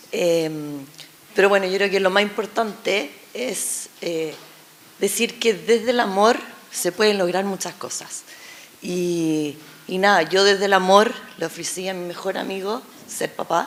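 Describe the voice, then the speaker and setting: Noticeable background noise sits behind a woman speaking at a fairly slow pace. She leaves long, frequent pauses and uses ordinary pitch variation. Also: medium pitch for a woman. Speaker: former surrogate mother. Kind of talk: personal testimony. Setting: public panel event. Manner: halting, many fillers.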